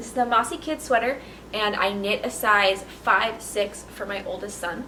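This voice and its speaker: Amid noticeable background noise and audible room echo, a woman with a fairly high pitch speaks with lively intonation. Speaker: knitting podcaster. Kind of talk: casual chat.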